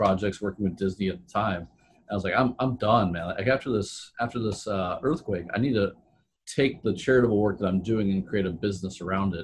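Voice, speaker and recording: This man speaks at a fairly quick pace with a fairly low pitch. His voice is somewhat breathy, with ordinary pitch variation. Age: 40s. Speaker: entrepreneur and sustainability consultant. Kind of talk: casual interview.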